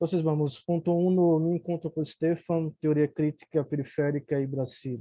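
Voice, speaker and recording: A man with a Brazilian accent, fairly high in pitch, at a moderate pace with hardly any pauses and a monotone, flat intonation. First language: Portuguese (speaking Spanish). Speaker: academic commentator. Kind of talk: reading prepared remarks. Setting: video call.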